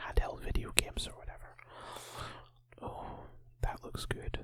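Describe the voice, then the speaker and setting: A man whispers, with noticeable background noise around him. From Northern Ireland. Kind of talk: ASMR channel catch-up talk. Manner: whispered.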